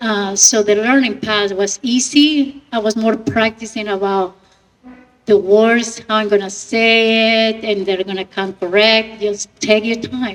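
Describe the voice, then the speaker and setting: A woman with a non-native accent and a fairly high pitch, fairly even intonation at a fairly slow pace, with music in the background. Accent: foreign. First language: not English. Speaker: actress and podcast radio host. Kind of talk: panel Q&A.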